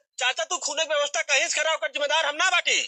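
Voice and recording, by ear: Doing a put-on character voice, a man speaks fast at an extremely high pitch, bright and sharp in tone with fairly even intonation, in a dry, close sound with no echo.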